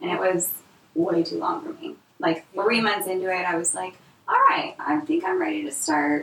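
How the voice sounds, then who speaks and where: A woman talks in an American accent. Noticeable background noise sits behind her. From Washington State, US. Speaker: chiropractor. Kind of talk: casual chat. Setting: roundtable recorded in person.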